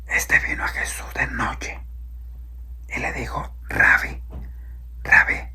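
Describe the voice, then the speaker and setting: Noticeable background noise sits behind a soft-spoken man. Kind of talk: religious sermon, Bible teaching.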